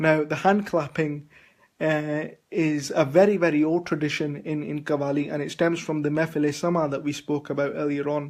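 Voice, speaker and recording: A man with a Punjabi accent, fairly high pitch, monotone, flat intonation and a moderate pace. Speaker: vlogger. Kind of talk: video blog talk. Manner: halting. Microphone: poor internet connection.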